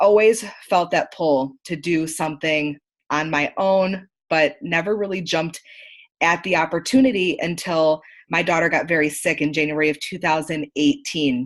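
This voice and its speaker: In a normal speaking voice, a woman with an American accent talks at a moderate pace, fairly low in pitch with ordinary pitch variation, against a quiet background. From upstate New York. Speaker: marketing consultant. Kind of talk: online training presentation.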